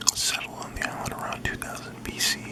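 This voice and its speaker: A man is whispering at a fairly slow pace. Noticeable background noise sits behind him. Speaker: ASMR creator / host. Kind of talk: ASMR fact reading. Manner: whispered, soft-spoken.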